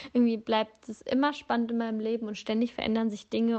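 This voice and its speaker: A woman talking at a very fast pace. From northern Germany. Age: 20s. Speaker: podcast host. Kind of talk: casual monologue. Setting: in bed in an apartment. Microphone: phone voice memo, no microphone.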